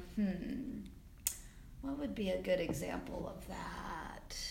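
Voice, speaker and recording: A woman's fairly high-pitched voice with audible room echo. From South Carolina. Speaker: film assistant director. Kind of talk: interview.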